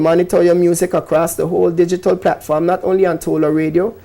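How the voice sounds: Talking fast, a man with a high pitch and a dark, mellow tone shows vocal fry and little pitch movement.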